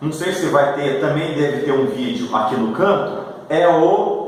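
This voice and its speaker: A man speaks at a fairly slow pace with ordinary pitch variation. Audible room echo and noticeable background noise come through. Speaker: homebrewing video host. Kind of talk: tutorial. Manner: casual, conversational.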